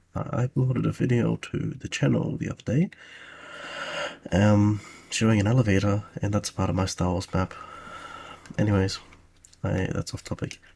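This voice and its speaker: Noticeable background noise sits behind a man speaking at a moderate pace. His pitch is fairly low, with ordinary variation. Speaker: video game level designer. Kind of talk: tutorial. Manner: soft-spoken; halting.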